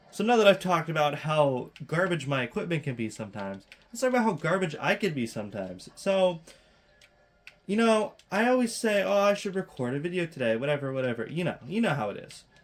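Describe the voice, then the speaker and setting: A man talking at a very fast pace with very wide pitch swings, music in the background. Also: fairly high pitch for a man. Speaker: gaming video commentator. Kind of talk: casual gameplay commentary. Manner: rambling, casual.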